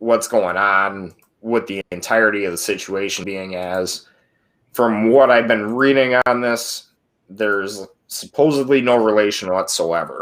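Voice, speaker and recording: Medium-pitched man with an American accent, ordinary pitch variation, and a fairly slow pace, on a very clean recording with a silent background. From Minnesota. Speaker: podcast host. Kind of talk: casual commentary; reading aloud news articles with commentary. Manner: halting, many fillers.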